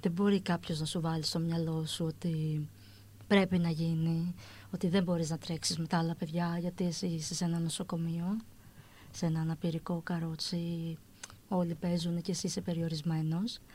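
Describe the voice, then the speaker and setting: A somewhat breathy woman with a fairly low pitch and a dark, mellow tone is heard on a very clean recording with a silent background. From Greece, Athens. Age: 40s. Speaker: woman with achondroplasia. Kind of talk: interview.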